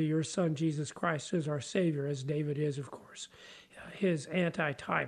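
Man with an unremarkable speaking voice, fairly high pitch, fairly even intonation, and a moderate pace. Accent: American. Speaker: pastor. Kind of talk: Bible study discussion.

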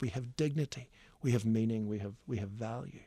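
In a very clean recording with a silent background, a man with a Northern Irish accent talks at a fairly quick pace with ordinary pitch variation. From Northern Ireland. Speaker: hymn writer. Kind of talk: radio interview. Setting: studio. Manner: animated; fast, stammering repeats.

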